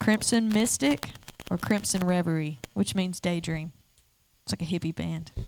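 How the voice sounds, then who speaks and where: In an Alabama accent, a woman talks at a moderate pace with a fairly low pitch and ordinary pitch variation. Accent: Southern US (Alabama). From North Alabama, Ardmore. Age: 20s. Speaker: singer-songwriter. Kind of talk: casual chat. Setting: stage with audience.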